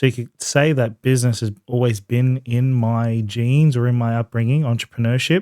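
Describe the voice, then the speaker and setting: A man with an Australian accent speaks at medium pitch and a moderate pace, his intonation fairly even and his tone dark and mellow. The recording is very clean and dry, close with no echo, over a silent background. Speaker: podcast co-host, breath coach. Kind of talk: casual interview chat.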